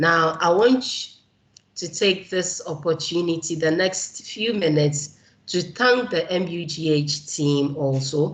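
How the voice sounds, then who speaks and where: Very slow and somewhat breathy, a woman speaks with a Ghanaian accent. Her pitch is very deep and low, with ordinary variation. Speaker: keynote speaker, community organizer. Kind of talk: keynote speech.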